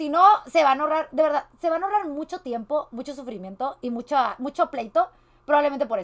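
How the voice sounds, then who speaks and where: Over a quiet background, the speaker rattles along at a very fast pace in a Mexican accent, with an animated tone and lively intonation. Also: woman, high pitch for a woman. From Mexico. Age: 20s. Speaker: streamer. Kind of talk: reaction commentary. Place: home room.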